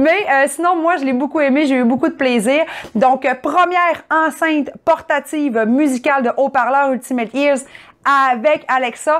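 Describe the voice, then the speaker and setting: A woman speaks with a strong Saguenay Quebec accent at a fairly slow pace. Her pitch is high, with ordinary pitch variation. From Quebec, Saguenay region. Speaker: tech reviewer. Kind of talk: product review. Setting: at home.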